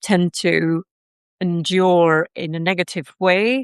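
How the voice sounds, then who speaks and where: The speaker goes very slowly, in a Dutch accent, with ordinary pitch variation. The sound is dry and close with no echo, and the background is quiet. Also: woman. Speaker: personal development teacher. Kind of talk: lecture. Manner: hesitant, many fillers.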